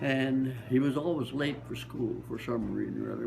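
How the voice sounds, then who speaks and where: A man talks at a moderate pace. He has a Midwestern accent. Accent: American Midwestern. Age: 80s+. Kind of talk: interview answer. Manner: sharp, vibrant.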